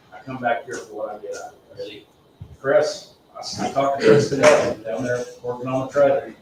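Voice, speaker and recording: Clear background noise runs beneath a man speaking at a medium tempo. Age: 50s. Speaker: recovering alcoholic speaking at AA meeting. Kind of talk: testimony. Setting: meeting room, livestreamed. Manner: halting.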